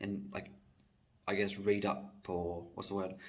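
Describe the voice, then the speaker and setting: A man's fairly low voice at a fairly slow pace, with audible room echo. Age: 20s. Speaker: vlogger. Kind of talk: casual monologue. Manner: hesitant, many fillers.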